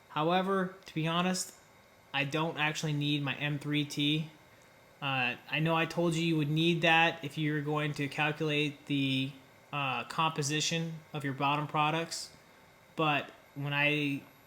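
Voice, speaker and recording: A man talks at a fairly slow pace in a fairly high pitch with a bright, sharp tone. His intonation stays monotone and flat, and audible room echo surrounds the voice. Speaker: engineering lecturer. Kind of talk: lecture.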